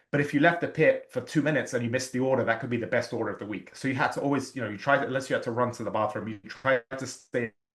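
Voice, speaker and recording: With an English accent, the speech runs very fast with hardly any pauses and fairly even intonation. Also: man, medium pitch for a man. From England. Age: 40s. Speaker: real estate agent. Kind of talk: interview conversation.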